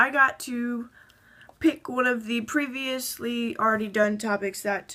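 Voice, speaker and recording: A woman's bright, sharp, fairly high voice with fairly even intonation. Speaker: transgender vlogger. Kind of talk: casual talk to camera. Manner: shaky, anxious.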